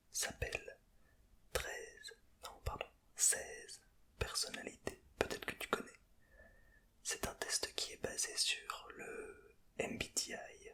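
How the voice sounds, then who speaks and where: A man whispers very slowly, with long pauses coming often. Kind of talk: ASMR personality test talk to camera. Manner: whispered, close to the microphone.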